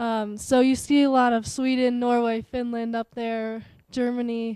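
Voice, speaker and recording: A woman with a Colorado accent speaks at a high pitch in a dark, mellow tone, her intonation monotone and flat. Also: quiet background. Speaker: Nordic skier. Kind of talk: casual chat.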